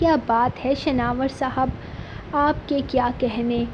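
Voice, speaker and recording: A woman speaks with a non-native accent at a high pitch, her intonation flat and monotone. Noticeable background noise sits behind her voice. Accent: non-native Urdu. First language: Pothwari (speaking Hindi). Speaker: novel narrator, channel host. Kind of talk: reading aloud a novel.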